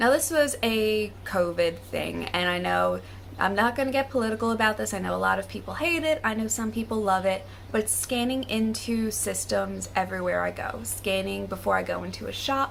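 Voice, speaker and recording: Noticeable background noise sits under a woman speaking at a fairly quick pace with an American accent. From United States. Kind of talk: casual talk to camera.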